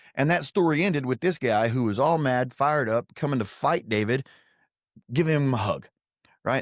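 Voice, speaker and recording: His pitch moves through very wide swings. The man keeps a fairly quick pace. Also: very clean recording, silent background. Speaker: podcast host and martial arts school owner. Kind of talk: podcast monologue. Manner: hesitant, many fillers.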